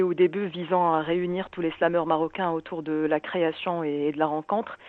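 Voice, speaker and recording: A woman talks in a normal speaking voice with a fairly low pitch. She keeps a moderate pace, fairly even intonation and hardly any pauses. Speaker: founder of a slam poetry association, radio guest. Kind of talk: radio interview answer.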